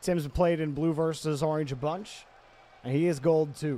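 A man talks at a fairly slow pace with a dark, mellow tone. The sound is dry, with no echo. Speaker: esports commentator. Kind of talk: live commentary. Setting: livestream. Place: home room. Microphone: studio mic.

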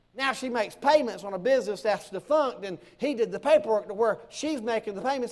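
A man with an American accent, animated in tone, with lively intonation and a fairly quick pace. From US South. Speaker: preacher. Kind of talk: sermon to a church congregation. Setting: church. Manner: animated, conversational, humorous preacher with audience call-and-response. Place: church.

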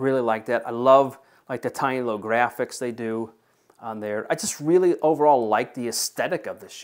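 In an ordinary speaking voice, a man talks at a medium pitch and a moderate pace, with ordinary pitch variation and big swings in loudness against a quiet background. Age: 40s. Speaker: shoe reviewer; product reviewer. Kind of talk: product review; casual review talk. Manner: casual, with many filler words. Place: home room.

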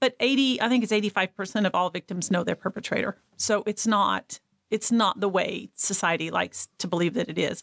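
A woman speaks at a medium pitch, with ordinary pitch variation. She hardly pauses at all, against a quiet background. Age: 60s. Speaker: abuse survivor and speaker. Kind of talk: testimony. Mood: earnest, recounting trauma. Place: studio. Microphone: studio mic.

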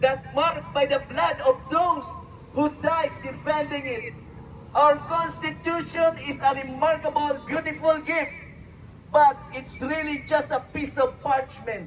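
A man's extremely high-pitched voice at a very slow pace, over noticeable background noise. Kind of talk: rally speech reading out patriotic quotes in English, like a prepared oration. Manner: formal, measured, declamatory, delivered with solemn oratorical emphasis.

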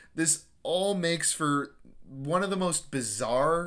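A man talks at a fairly slow pace with lively intonation. His voice has a bright, sharp tone and a fairly high pitch.

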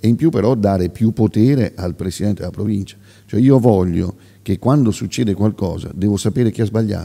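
Against a quiet background, a man with a fairly low pitch and a dark, mellow tone speaks at a fairly quick pace with ordinary pitch variation. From Marche, Pesaro area (Piobbico); Marche, Italy. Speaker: regional election candidate, former mayor; election candidate. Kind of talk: political interview; political interview answer. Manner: halting, many fillers and repetitions. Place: hall. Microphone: studio mic.

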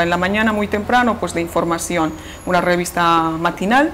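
A woman's ordinary speaking voice, fairly low in pitch, at a fairly quick pace over light background noise. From Bolivia. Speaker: radio station director. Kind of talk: interview answer. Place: office. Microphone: lapel.

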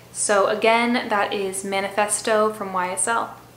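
A woman speaks with fairly even intonation. The room echo is audible, and there is light background noise. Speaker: perfume youtuber. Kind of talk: casual review vlog chat. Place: home room.

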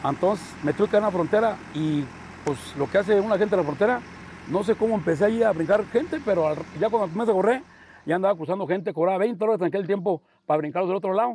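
Over noticeable background noise, a man with a high-pitched voice talks at a very fast pace. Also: ordinary pitch variation. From Mexico, rural Guanajuato. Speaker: bull ranch owner. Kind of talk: casual interview.

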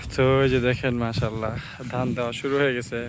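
A man's medium-pitched, monotone, flat delivery comes through noticeable background noise. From Bangladesh, Brahmanbaria (Bancharampur). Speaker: village vlogger. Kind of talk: vlog walk-and-talk. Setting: outdoors. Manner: casual.

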